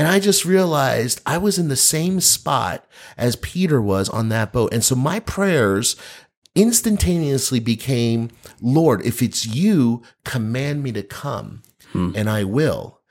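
Very wide pitch swings mark this man's speech. He talks at a fairly slow pace with an American accent. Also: medium pitch for a man, very clean recording, silent background. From US Northeast, New Jersey. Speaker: pastor. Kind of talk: casual chat.

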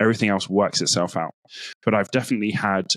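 Very fast speech in a British accent comes through in a very clean recording with a silent background. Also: man. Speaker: data analyst and speaker. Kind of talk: casual interview.

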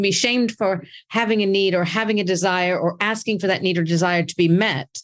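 On a very clean recording with a silent background, a woman with an American accent speaks in an ordinary speaking voice at medium pitch, with ordinary pitch variation and a fairly quick pace. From United States. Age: 50s. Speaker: podcast host, intimacy coach. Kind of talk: casual chat.

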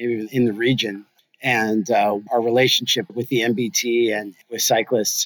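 The speaker talks at a moderate pace. It is a plain, everyday voice. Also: man. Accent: American. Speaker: brewery owner. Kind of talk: interview. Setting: video call.

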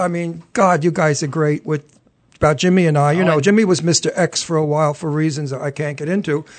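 A high-pitched man with a New York accent and ordinary pitch variation. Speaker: television talk show host. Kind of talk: casual chat. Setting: studio. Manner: animated.

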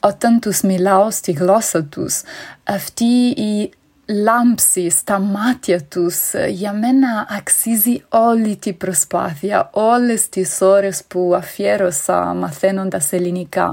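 A woman with an Italian accent speaks at a very slow pace and medium pitch with ordinary pitch variation. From Italy. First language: Italian (speaking Greek). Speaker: conference interpreter, listener. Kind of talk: recorded voice message.

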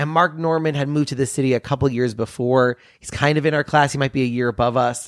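A man talks at a very fast pace with hardly any pauses and fairly even intonation. The sound is dry and close with no echo, on a very clean recording with a silent background. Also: fairly high pitch for a man. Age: 30s. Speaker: comedian and magician. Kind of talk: casual interview chat. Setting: home studio.

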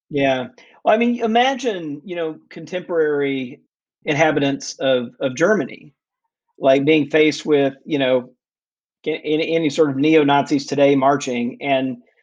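With an American accent, a man speaks in a normal speaking voice, his fairly high pitch showing ordinary pitch variation. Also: moderate pace. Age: 50s. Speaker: researcher and author. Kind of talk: interview.

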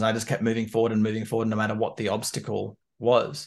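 At a very fast pace, a man speaks at a medium pitch with an Australian accent. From Canberra, Australia. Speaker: business coach. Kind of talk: casual interview.

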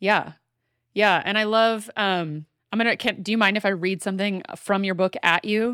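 Heard dry and close with no echo on a very clean recording with a silent background, a woman with an American accent speaks at a moderate pace in a bright, sharp, medium-pitched voice with fairly even intonation. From US South. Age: 40s. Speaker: podcast host. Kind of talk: casual chat; scripted narration.

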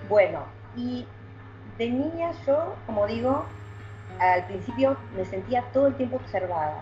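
A woman speaks at a fairly slow pace with long, frequent pauses. Noticeable background noise runs behind her. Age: 40s. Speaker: psychic. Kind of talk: interview.

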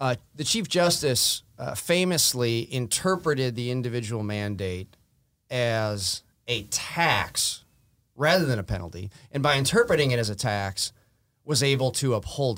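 A man's plain, everyday voice with an American accent, medium pitch, lively intonation, and a fairly slow pace, in a very clean recording with a silent background. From Wisconsin, US Midwest. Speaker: lawyer. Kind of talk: legal discussion interview.

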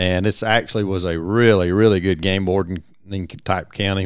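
A man with a Georgia accent and a very deep, low voice speaks at a fairly quick pace with fairly even intonation in a very clean recording with a silent background. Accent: Southern (Georgia) accent, noticeable. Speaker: retired game warden colonel. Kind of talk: interview storytelling.

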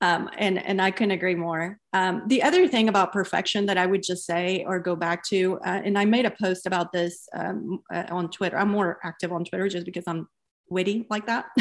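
A woman with an unremarkable speaking voice talks at a medium pitch and a fairly quick pace, with fairly even intonation and hardly any pauses. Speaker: podcast host and founder. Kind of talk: interview and moderated discussion.

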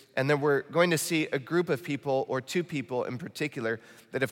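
This man speaks with a slight Midwestern US accent at a fairly high pitch. He goes at a fairly quick pace in a very clean recording with a silent background. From Michigan, US Midwest. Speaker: pastor. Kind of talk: sermon. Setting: church. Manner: earnest, urgent.

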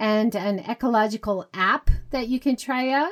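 A woman speaks with a high pitch and ordinary pitch variation. The recording is very clean, with a silent background. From Hawaii. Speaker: podcast host, guest. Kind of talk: casual chat.

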